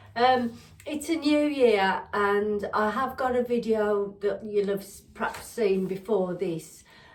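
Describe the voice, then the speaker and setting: A woman speaks with an English accent. Her pace is very slow. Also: ordinary pitch variation. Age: 60s. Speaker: lifestyle vlogger. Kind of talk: casual chat. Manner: halting, many fillers.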